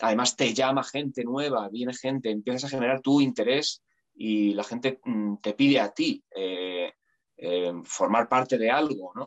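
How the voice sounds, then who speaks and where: Recorded with a dry, close sound and no echo, a man talks at a fairly slow pace in a plain, everyday voice, with medium pitch and ordinary pitch variation. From Spain, Aranjuez (Madrid region). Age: 40s. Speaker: actor and musician. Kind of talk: casual interview.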